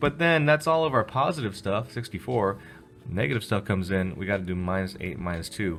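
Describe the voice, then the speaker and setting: A man talks at a fairly quick pace in a fairly low pitch. His pitch swings very widely over music in the background. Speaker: physics teacher. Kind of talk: tutorial. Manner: fast.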